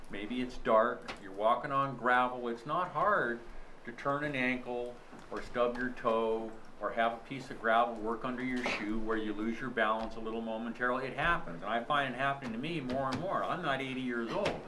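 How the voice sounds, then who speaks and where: Over noticeable background noise and audible room echo, a man talks at a moderate pace. His pitch is medium, with ordinary variation. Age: 60s. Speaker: planning board member. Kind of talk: public meeting discussion. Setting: town planning board meeting.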